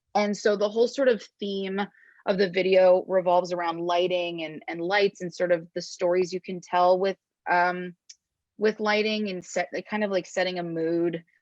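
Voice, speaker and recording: This woman has an unremarkable speaking voice at a medium pitch, with ordinary pitch variation. She talks at a moderate pace against a quiet background. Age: 20s. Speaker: singer-songwriter. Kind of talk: interview. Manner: casual, many fillers.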